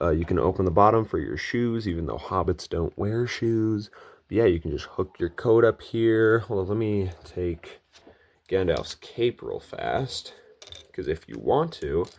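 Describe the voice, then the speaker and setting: This is an ordinary speaking voice, delivered at a fairly slow pace with ordinary pitch variation. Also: man, fairly low pitch for a man. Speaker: toy reviewer. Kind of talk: product review. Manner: casual.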